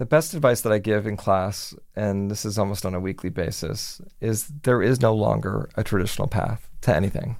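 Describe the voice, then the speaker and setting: A man speaks with an American accent in an ordinary speaking voice. His pitch is fairly low and his pace moderate. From Miami, Florida. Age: 40s. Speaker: television news executive producer. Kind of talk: interview. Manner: casual with frequent fillers.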